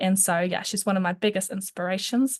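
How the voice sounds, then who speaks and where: Against a quiet background, a woman speaks in a New Zealand accent. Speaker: youth advocate. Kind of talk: webinar presentation. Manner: fast.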